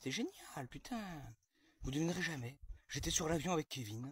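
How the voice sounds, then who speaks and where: A man talks with an animated tone. His pitch swings very widely. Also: dry, close sound with no echo. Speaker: comedian telling a sketch story. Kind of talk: storytelling monologue to camera. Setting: outdoors in own garden. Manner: fast; animated, sarcastic exclamations.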